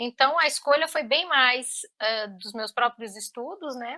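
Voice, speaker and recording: A woman's high-pitched, bright, sharp voice with lively intonation at a very slow pace. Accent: Brazilian. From Brazil. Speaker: linguist and mother. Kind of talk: interview. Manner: halting, many fillers.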